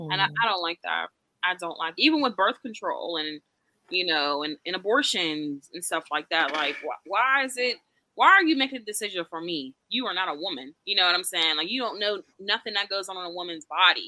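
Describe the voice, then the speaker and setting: A woman talks in a normal speaking voice at a medium pitch. Her intonation is lively and her pace fairly quick. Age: young. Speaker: podcast co-host. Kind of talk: casual chat.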